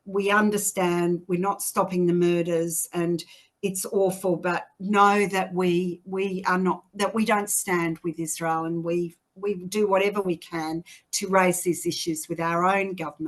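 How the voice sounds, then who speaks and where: Fairly slow delivery in a monotone, flat intonation. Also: woman, medium pitch for a woman. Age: 60s. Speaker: activist. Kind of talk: interview. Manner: halting.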